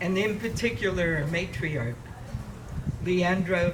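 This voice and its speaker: A man's high voice in a West Coast American accent at a fairly slow pace, with audible room echo and noticeable background noise. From San Francisco, US West Coast. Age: 60s. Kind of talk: ceremonial speech.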